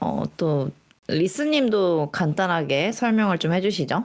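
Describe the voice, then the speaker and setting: A woman's lively intonation carries through her very slow delivery. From Seoul, South Korea. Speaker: podcast co-host. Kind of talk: casual chat.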